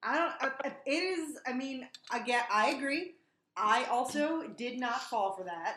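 A woman with an American accent speaks at a fairly slow pace. Her voice is high-pitched, with lively intonation. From New Jersey. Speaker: horror podcast host. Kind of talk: casual chat.

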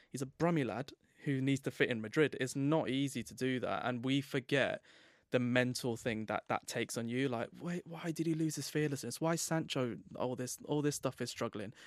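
Recorded with a dry, close sound and no echo, a man talks in an English accent. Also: medium pitch for a man, ordinary pitch variation, moderate pace, very clean recording, silent background. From England. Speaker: football author and club expert. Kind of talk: casual podcast chat.

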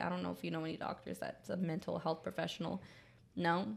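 A woman is speaking. Her pace is fairly quick. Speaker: podcast co-host. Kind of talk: casual chat. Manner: animated, laughs often.

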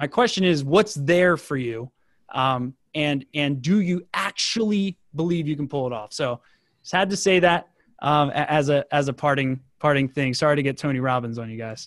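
A man with an ordinary speaking voice talks at a moderate pace, his pitch fairly high for a man with ordinary variation, in a dry, close sound with no echo over a quiet background. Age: 20s. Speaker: marketing agency CEO. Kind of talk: interview.

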